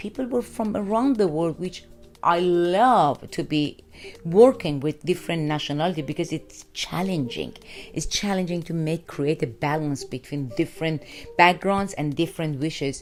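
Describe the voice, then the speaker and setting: Speaking in an Iranian accent, a woman with a fairly low pitch keeps a moderate pace and lively intonation. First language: Farsi. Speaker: radio broadcaster. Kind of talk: interview. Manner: halting.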